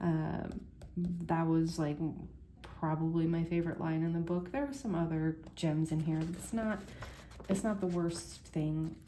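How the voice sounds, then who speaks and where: Soft-spoken, a woman talks at a fairly slow pace. Her loudness stays very even. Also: fairly low pitch for a woman, ordinary pitch variation. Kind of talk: casual book review to camera.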